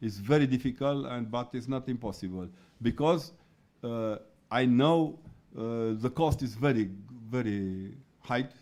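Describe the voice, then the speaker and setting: On a very clean recording with a silent background, a man with a non-native accent talks at a fairly slow pace and medium pitch, with ordinary pitch variation and long, frequent pauses. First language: not English. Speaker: researcher on religion. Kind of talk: conference talk. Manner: halting.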